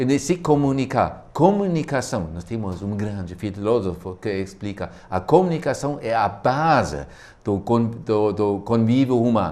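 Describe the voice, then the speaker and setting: With a German accent, this voice moves at a fairly slow pace through very wide pitch swings. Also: man, medium pitch for a man. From Germany. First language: German (speaking Portuguese). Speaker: physical education professor. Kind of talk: studio talk show discussion. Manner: halting, many hesitations.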